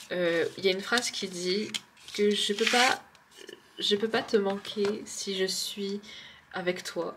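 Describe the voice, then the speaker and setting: Through noticeable background noise, a woman of medium pitch speaks at a very slow pace with long, frequent pauses. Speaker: tarot card reader. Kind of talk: tarot card reading. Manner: hesitant.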